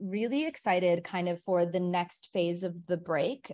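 Speaking with an American accent, a woman talks at a fairly slow pace and medium pitch, with ordinary pitch variation. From Milwaukee, Wisconsin. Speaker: entrepreneur, brand founder. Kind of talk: casual interview chat. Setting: video call.

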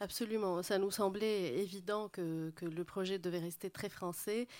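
On a very clean recording with a silent background, a woman speaks at a very slow pace with fairly even intonation. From Lebanon, Beirut. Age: 40s. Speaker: interior architect. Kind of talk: public panel talk.

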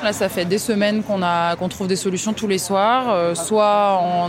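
A woman with a medium pitch is heard with audible room echo and noticeable background noise. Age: 20s. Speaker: volunteer with aid association. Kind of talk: field interview.

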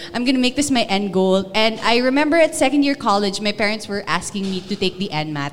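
A woman with an ordinary speaking voice talks at a medium pitch with lively intonation and hardly any pauses. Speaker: radio DJ. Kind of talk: panel discussion. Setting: stage with audience.

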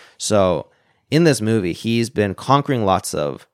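With a Canadian accent, a man at a fairly low pitch makes very wide pitch swings in a very clean recording with a silent background and a dry, close sound with no echo. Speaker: tech entrepreneur and programmer. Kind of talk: casual chat.

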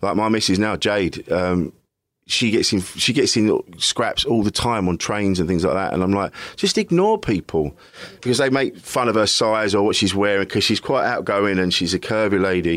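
A man with a British accent talks at a fairly low pitch with ordinary pitch variation. He keeps a moderate pace and very even loudness. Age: 40s. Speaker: comedian and podcaster. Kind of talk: casual interview.

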